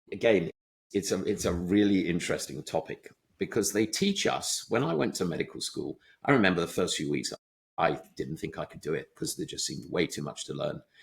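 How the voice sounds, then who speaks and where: A man with an English accent at a fairly quick pace. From England. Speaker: surgeon and medical tech founder. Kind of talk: interview.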